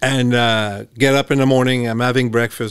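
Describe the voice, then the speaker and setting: A man with a French Canadian accent talks at a fairly quick pace and medium pitch, his intonation fairly even. The recording is very clean, with a silent background. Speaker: former hockey player and coach. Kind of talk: casual chat. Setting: studio.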